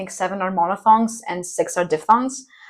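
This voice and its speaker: With an American accent, a woman is talking. She keeps a moderate pace. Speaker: university student, conlang creator. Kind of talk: casual chat.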